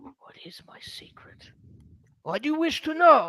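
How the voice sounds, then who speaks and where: Someone whispers in a put-on character voice. The pace is fairly slow. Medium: actual play. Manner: blunt, terse.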